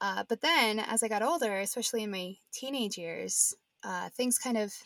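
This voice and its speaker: A woman at a moderate pace, dry and close with no echo. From Nebraska. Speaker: podcast co-host. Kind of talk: casual chat, podcast conversation. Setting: home closet recording.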